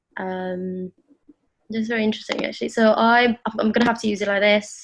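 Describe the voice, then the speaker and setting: In a British accent, a woman talks at a medium pitch and a fairly quick pace with monotone, flat intonation, and the sound is dry and close with no echo. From United Kingdom. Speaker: privacy and security enthusiast speaker. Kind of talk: presentation over video call. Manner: hesitant, many fillers.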